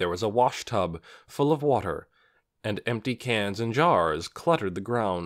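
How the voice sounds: A natural reading voice with lively intonation sits against a quiet background.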